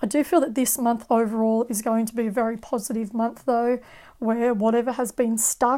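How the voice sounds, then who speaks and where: Her voice is fairly high for a woman, dark and mellow in tone, with monotone, flat intonation. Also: moderate pace. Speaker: tarot card reader. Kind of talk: tarot reading.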